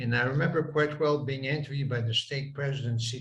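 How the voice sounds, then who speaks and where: A man's somewhat breathy, monotone voice with flat intonation at a fairly quick pace. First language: French. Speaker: former church bishop. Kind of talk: interview reminiscence.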